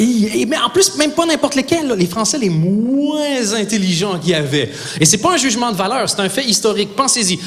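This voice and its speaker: With a Quebec accent, a man talks fairly quickly in a high voice for a man, his pitch swinging very widely over noticeable background noise. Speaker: stand-up comedian. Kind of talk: stand-up. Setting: stage with audience.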